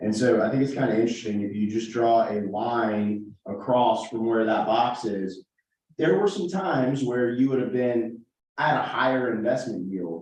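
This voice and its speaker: With audible room echo, a man speaks at a moderate pace in a medium pitch with ordinary pitch variation. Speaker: financial advisor presenting investments. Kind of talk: presentation to a town board.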